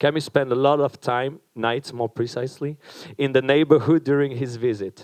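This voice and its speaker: A man with a French accent at medium pitch, with fairly even intonation, a moderate pace and a quiet background. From France. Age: young. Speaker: event organizer. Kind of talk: event introduction speech. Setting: stage with audience. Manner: hesitant, with fillers.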